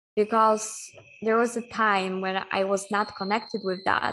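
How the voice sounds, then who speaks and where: A woman with a Polish accent and a medium pitch, at a fairly slow pace over a quiet background. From Poland. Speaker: human design coach. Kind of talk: casual chat.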